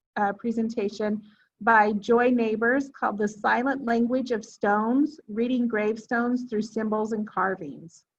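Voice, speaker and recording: This woman's voice is fairly high-pitched and somewhat breathy. She speaks at a fairly slow pace with fairly even intonation. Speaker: genealogy class teacher. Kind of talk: lecture. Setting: classroom with Zoom audience.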